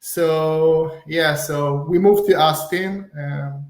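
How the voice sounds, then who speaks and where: There is audible room echo as a man with an Israeli accent and a high pitch speaks. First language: Hebrew. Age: 30s. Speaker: real estate wholesaler. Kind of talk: podcast interview.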